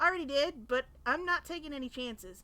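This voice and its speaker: A woman's put-on character voice, high-pitched, raised and projected, at a very fast pace. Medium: read story. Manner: serious, firm.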